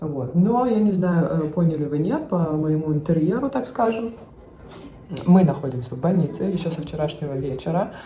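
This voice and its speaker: There is audible room echo as a woman talks at a moderate pace and a fairly low pitch. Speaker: family vlogger. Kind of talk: casual vlog talk. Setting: hospital; in a car.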